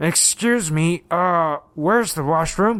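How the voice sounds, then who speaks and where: A fairly slow, high-pitched put-on character voice from a man. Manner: fake, nervous, feigned politeness.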